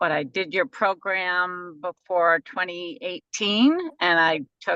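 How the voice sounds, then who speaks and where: The voice has a bright, sharp tone and ordinary pitch variation, recorded with a dry, close sound and no echo. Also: woman. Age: 60s. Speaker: fitness client. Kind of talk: casual chat.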